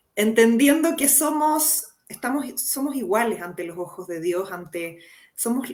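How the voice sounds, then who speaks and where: A woman with a Chilean accent speaks with lively intonation. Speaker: psychologist. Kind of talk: interview.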